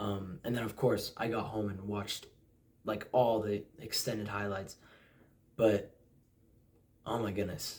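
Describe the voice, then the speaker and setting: A man with an American accent and a fairly low, somewhat breathy voice speaks at a fairly slow pace in a monotone, flat intonation, with long, frequent pauses. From US, Utah. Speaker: football fan vlogger. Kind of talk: casual predictions monologue. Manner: hesitant fillers.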